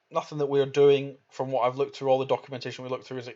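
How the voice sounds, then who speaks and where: A man speaks with a Scottish accent at medium pitch. His intonation is monotone and flat. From Scotland. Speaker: crypto gaming streamer. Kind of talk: live stream Q&A. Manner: halting.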